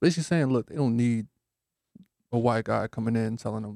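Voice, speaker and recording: A fairly quick man's voice in an American accent, medium in pitch with a dark, mellow tone, on a very clean, silent recording with a dry, close sound and no echo. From New Haven, Connecticut. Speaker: mindfulness and music production teacher. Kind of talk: casual radio interview. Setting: radio studio.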